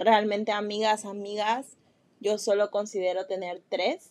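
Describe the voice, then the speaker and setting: A woman talks at a very slow pace. Her fairly high voice holds a fairly even intonation. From Mexico. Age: 20s. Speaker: podcast host, nutrition student. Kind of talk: solo personal monologue. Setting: seated recording podcast. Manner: casual, with filler words.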